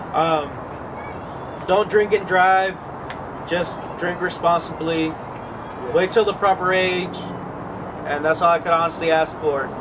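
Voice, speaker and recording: A man with a high voice speaks at a fairly slow pace with fairly even intonation and long, frequent pauses, over noticeable background noise. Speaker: podcast co-host and producer. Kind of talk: casual chat.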